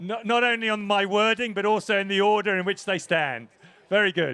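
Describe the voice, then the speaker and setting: At a fairly quick pace, a man with an English accent speaks in a high voice. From England. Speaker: presentation announcer at rowing regatta. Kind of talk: live event announcing and crew interviews.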